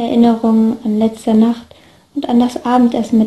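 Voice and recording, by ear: The speaker is reading aloud. It is done in a natural voice.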